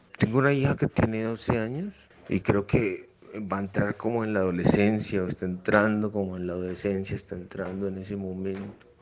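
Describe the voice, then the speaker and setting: A man with a fairly low pitch uses an ordinary speaking voice at a fairly quick pace. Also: fairly even intonation. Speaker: father, podcast interviewee. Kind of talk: reflective monologue answer.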